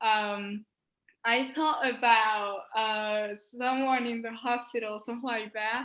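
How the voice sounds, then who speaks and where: Speaking very slowly in a Spanish accent, a woman keeps a fairly high pitch and a monotone, flat intonation. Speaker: medical student, science social media creator. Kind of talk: interview. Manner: halting.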